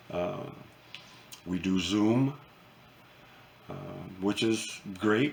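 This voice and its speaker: A man's fairly low voice holds fairly even intonation while noticeable background noise plays behind him. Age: 70s. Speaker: retired gunsmith vlogger. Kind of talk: casual monologue to camera. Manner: halting, many fillers and repeats.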